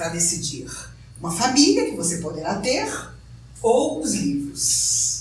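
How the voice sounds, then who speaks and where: There is audible room echo and noticeable background noise. Through it, a woman speaks with very wide pitch swings. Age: 60s. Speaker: spiritist lecturer. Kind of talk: lecture.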